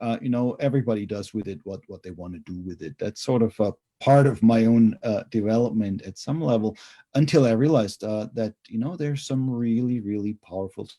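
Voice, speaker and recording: A man with a German accent speaks at a fairly quick pace in a dark, mellow tone, his medium pitch varying in an ordinary way while his loudness swings widely. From Germany. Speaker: theology professor. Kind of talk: interview.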